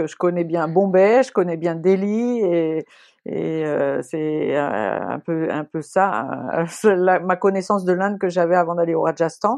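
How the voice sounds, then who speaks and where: Speaking at a very slow pace, a woman uses a fairly low voice with ordinary pitch variation. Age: 50s. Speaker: ultra-runner. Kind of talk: casual chat.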